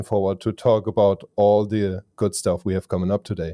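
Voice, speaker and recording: Dark, mellow speech in a German accent at a moderate pace, dry and close with no echo, on a very clean recording with a silent background. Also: man. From Germany. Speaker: online business consultant and summit host. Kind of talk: casual interview.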